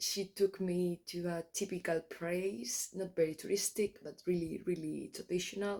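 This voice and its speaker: With a Spanish accent, a woman speaks at a moderate pace, her pitch fairly low and her intonation fairly even. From Spain. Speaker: travel vlogger. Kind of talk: travel vlog. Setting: outdoors. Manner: halting.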